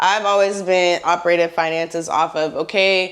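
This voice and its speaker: A woman speaks in an animated tone at a fairly low pitch, with ordinary pitch variation and noticeable background noise behind her. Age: 30s. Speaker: lifestyle vlogger. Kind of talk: casual advice monologue. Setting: at home.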